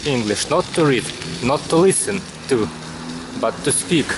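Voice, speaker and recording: Someone with a Russian accent talks at a fairly slow pace over noticeable background noise. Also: man. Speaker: vlogger. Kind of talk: casual monologue while cycling. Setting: outdoors on a bicycle in the city. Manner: halting.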